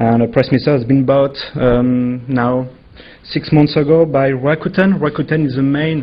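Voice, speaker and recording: Speaking at a moderate pace with a French accent, a man uses a fairly high pitch and ordinary pitch variation. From France. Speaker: legal affairs executive. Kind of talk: conference panel presentation. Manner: hesitant.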